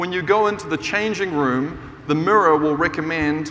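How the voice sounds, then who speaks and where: Speaking with a New Zealand accent at a moderate pace, a man uses a fairly high pitch with ordinary pitch variation, with audible room echo and noticeable background noise. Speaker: business professor and keynote speaker. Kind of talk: conference keynote talk. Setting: stage with audience. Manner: animated.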